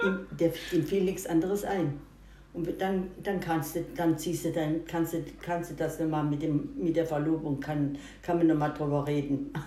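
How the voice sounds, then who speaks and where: Audible room echo surrounds a woman speaking at a fairly slow pace with fairly even intonation and a fairly low pitch. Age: 80s+. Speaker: grandmother. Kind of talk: casual interview. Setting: at home over breakfast. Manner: halting, repeats words.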